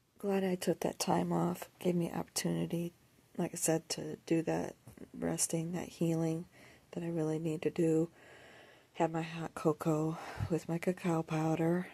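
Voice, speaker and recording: Soft-spoken and fairly low-pitched, a woman speaks at a moderate pace with a dark, mellow tone and monotone, flat intonation. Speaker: lifestyle vlogger. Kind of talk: casual vlog monologue. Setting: at home, early morning.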